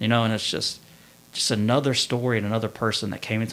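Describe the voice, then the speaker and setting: A man with a Kentucky accent. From central Kentucky (Winchester). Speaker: Marine Corps veteran. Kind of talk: testimony.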